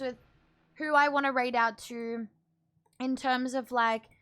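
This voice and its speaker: Raised, projected speech from a woman, bright and sharp in tone, at a moderate pace. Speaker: streamer. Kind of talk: live stream chat. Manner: animated.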